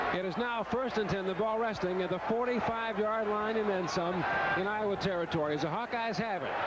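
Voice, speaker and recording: A man speaks in a high pitch with fairly even intonation and very even loudness. Noticeable background noise sits under the voice. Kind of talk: vintage college football game commentary. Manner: even, rapid play-by-play delivery.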